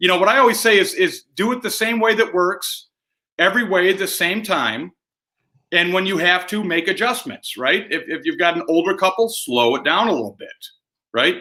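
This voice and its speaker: A man with an American accent uses a raised, projected voice in a high pitch with a bright, sharp tone. He keeps a moderate pace, and the recording is very clean with a silent background. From Michigan, US Midwest. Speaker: sales trainer. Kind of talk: interview.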